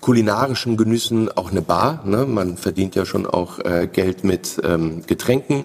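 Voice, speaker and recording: A fairly slow delivery beneath noticeable background noise. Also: man. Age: 40s. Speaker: family business owner. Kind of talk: interview. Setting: company premises.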